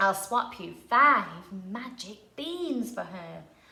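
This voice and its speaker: In a croaky, put-on character voice, a woman speaks at a very slow pace with lively intonation. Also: medium pitch for a woman. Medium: read story.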